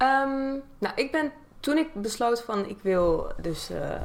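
Amid noticeable background noise, the voice moves in very wide pitch swings. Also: woman. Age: 20s. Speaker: YouTuber and content creator. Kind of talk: casual chat.

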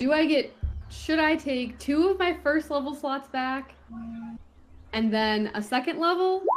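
A woman speaks at a very slow pace with lively intonation. Noticeable background noise is present. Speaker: player in the game. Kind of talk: casual tabletop roleplaying game chat. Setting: online video call.

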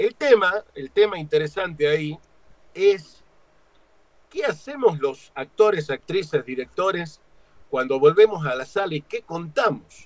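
A man speaks at a fairly slow pace with lively intonation, in a dry, close recording with no echo. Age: 50s. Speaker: stage actor and director. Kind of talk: interview.

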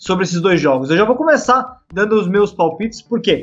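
Here a man speaks at a moderate pace. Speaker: rugby podcast host. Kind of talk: casual sports chat.

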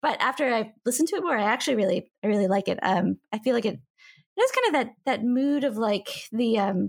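A normal speaking voice from a woman with an American accent, fairly high in pitch at a moderate pace, in a very clean recording with a silent background. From United States. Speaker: podcast guest, music fan. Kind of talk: casual chat.

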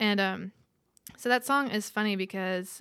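Speaking with a Texan accent at a moderate pace, a woman has a bright, sharp tone, a medium pitch, and fairly even intonation on a very clean recording with a silent background. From West Texas, rural ranch. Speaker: singer-songwriter. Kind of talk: casual interview chat.

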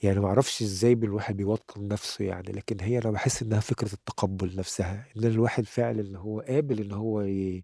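A man talks fairly quickly at a fairly low pitch in a dark, mellow tone, with hardly any pauses. The sound is dry and close, with no echo. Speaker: poet and writer. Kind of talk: interview. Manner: halting.

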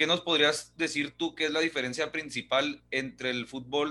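Bright, sharp tone from a man with a fairly high voice, at a fairly slow pace over a quiet background. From Ciudad Juárez, Mexico. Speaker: podcast host. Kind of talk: casual chat.

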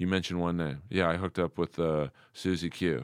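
In a very clean recording with a silent background, a man speaks with a Californian accent. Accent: Californian American. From US West Coast, Los Angeles. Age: 50s. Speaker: comedian. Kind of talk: casual chat. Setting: studio.

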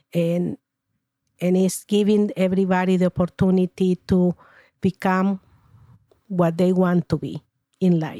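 On a very clean recording with a silent background and a dry, close sound with no echo, a woman with a Spanish accent speaks fairly slowly in a dark, mellow tone at medium pitch, her intonation monotone and flat with long, frequent pauses. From Paraguay. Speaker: retired teacher. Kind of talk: interview. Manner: formal.

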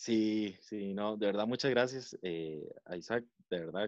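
Lively intonation in a dry, close sound with no echo. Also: man. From Costa Rica, San José. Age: 20s. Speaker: podcast guest. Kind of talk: casual chat.

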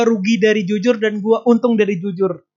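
This man has a high pitch. His intonation stays fairly even. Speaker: podcast host, education student. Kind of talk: casual chat. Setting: phone call. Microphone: low-quality call audio with dropouts.

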